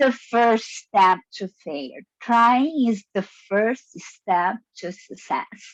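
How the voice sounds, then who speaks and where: A woman's high voice with a non-native accent, very slow in pace, with big swings in loudness. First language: not English. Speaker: toastmasters member. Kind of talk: impromptu speech. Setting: zoom meeting.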